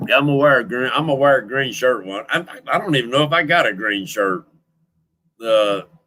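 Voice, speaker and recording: Talking at a fairly quick pace, a man with a Southern US accent uses a medium pitch. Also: lively intonation. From Louisiana, Creole French heritage. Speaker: fishing livestream host. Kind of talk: casual livestream chat. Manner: loud.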